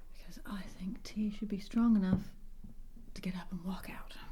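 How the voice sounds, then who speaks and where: This soft-spoken voice has an American accent. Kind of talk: ASMR ramble to camera.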